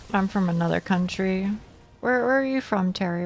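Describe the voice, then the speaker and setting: Music plays in the background as a woman speaks with an American accent. Her pitch sits in the medium range. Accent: southern US accent, showing more lately. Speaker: video game streamer. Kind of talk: casual live-stream chat with viewers. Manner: repeats words often.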